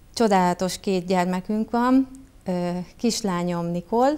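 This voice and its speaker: Slowish in pace, a woman speaks with ordinary pitch variation. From southern Hungary, Bács-Kiskun (Baja, Bácsalmás); southern Hungary. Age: 40s. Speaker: local council candidate, public finance director; council candidate. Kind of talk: campaign self-presentation. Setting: TV studio. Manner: formal, prepared speech. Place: studio.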